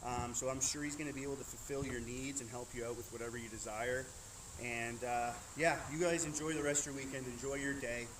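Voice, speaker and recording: Speech comes at a very fast pace with fairly even intonation and audible room echo. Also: man, medium pitch for a man. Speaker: knife throwing streamer; military member. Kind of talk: live stream wrap-up. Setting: outdoors. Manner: loud.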